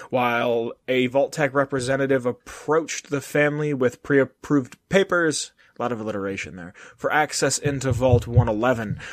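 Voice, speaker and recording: Recorded with a dry, close sound and no echo, a man speaks in a plain, everyday voice at a medium pitch, with ordinary pitch variation and a moderate pace. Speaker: podcast host. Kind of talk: casual chat. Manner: profane, joking.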